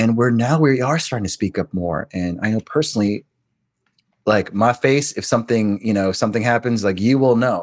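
A man with an American accent speaks in a normal speaking voice at medium pitch and a fairly quick pace, with ordinary pitch variation. The background is quiet and the sound is dry and close with no echo. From US, Korean American. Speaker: Broadway actor and audiobook narrator. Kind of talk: casual interview chat.

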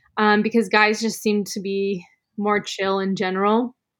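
An unremarkable speaking voice with an American accent talks at a fairly slow pace in a very clean recording with a silent background. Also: woman. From Arizona, Sedona. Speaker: photographer and yoga instructor. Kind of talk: casual interview.

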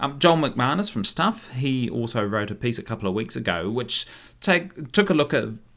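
Speaking with a New Zealand accent, a man moves at a fairly quick pace with lively intonation on a very clean recording with a silent background. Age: 30s. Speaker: podcast host and local councillor. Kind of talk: casual solo commentary.

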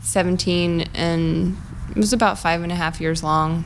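A woman at a very slow pace against noticeable background noise. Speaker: comedian.

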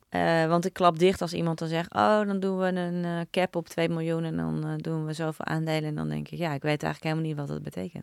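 A woman speaks very fast. She hardly pauses at all. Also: very clean recording, silent background. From Netherlands, Naarden. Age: 40s. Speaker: entrepreneur, company founder. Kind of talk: interview, casual conversation.

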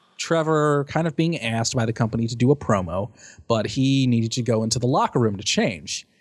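Recorded very cleanly against a silent background, a man with a plain, everyday voice speaks at a fairly quick pace, medium in pitch, with lively intonation. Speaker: podcast co-host. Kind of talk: casual chat.

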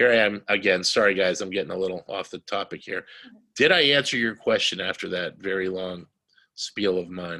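A man's fairly low voice with a bright, sharp tone, ordinary pitch variation and a fairly quick pace. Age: 50s. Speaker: siege survivor and author. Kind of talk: interview.

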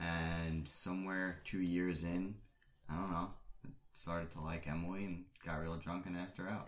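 Speaking at a moderate pace, a man uses a very deep, low pitch and monotone, flat intonation. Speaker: guest, engaged man. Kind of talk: casual interview.

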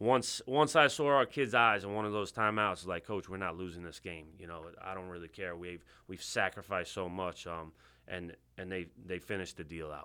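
This man has a very deep, low pitch and a bright, sharp tone, with a New York accent. He speaks at a fairly quick pace on a very clean recording with a silent background. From Long Island, New York (Bethpage). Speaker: high school lacrosse coach. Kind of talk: interview. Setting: studio.

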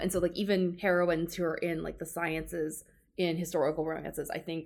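A woman speaks with an American accent at a moderate pace, her pitch fairly low with vocal fry. Her intonation is monotone and flat. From US South, Georgia. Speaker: law librarian, romance writer. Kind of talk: casual book discussion.

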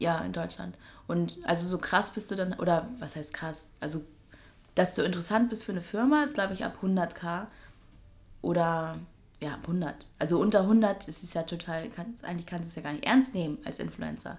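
Somewhat breathy, a woman speaks at a fairly low pitch with ordinary pitch variation. Her pace is moderate and her loudness swings widely. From northern Germany, Schleswig-Holstein. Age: 20s. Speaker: fashion journalist and presenter. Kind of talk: casual interview. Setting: kitchen.

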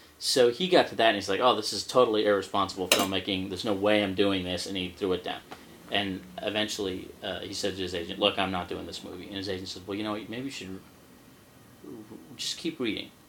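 Very fast speech in an American accent, fairly even in intonation, with big swings in loudness and noticeable background noise. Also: man, fairly low pitch for a man. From Scotland-born, raised in the US. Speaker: screenwriter. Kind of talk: casual interview. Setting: his apartment.

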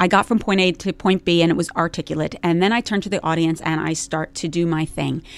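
Very fast, hardly-pausing woman's voice, fairly low in pitch, with a New Jersey accent, on a very clean recording with a silent background. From US Northeast (New Jersey). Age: 50s. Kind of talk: casual interview. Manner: animated.

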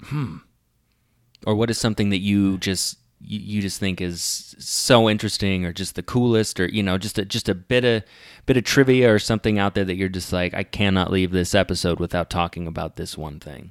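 An unremarkable speaking voice: a man with an American accent and fairly low pitch talks at a fairly quick pace with ordinary pitch variation. The sound is dry and close with no echo, on a very clean recording with a silent background. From US West (Lafayette, Colorado). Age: 30s. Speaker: podcast host, actor. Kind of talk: casual chat.

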